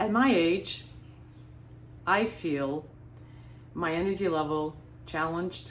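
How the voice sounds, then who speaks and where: Long, frequent pauses from a woman with ordinary pitch variation, in a room with audible echo. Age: 60s. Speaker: lifestyle vlogger. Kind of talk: casual monologue. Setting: beach house.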